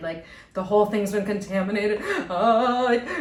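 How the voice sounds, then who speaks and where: With an American accent, the speaker goes at a moderate pace and fairly even intonation, amid audible room echo and noticeable background noise. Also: woman. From US East Coast, Boston area. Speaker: podcast co-host and musician. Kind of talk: casual chat.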